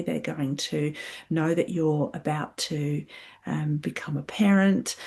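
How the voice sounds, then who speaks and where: A woman speaks in a very deep, low pitch that is somewhat breathy, with ordinary pitch variation. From UK. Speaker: psychologist and clinical supervisor. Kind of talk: podcast talk, explanatory. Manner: reflective, with frequent hesitations (um).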